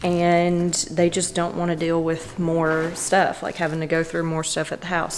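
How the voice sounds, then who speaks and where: With noticeable background noise behind her, a woman speaks at a moderate pace in a fairly low, monotone, flat voice. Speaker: vlogger. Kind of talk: casual vlog talk. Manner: chatty, filler-heavy.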